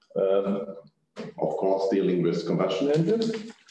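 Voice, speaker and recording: A man's voice with audible room echo. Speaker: panel moderator. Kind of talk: speaker introductions. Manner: halting.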